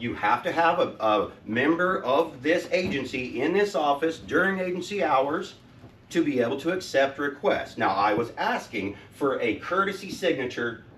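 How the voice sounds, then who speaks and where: Lively intonation marks this man's fairly high voice. He keeps a moderate pace, with noticeable background noise behind him. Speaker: citizen activist. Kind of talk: public comment at meeting. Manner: louder when excited.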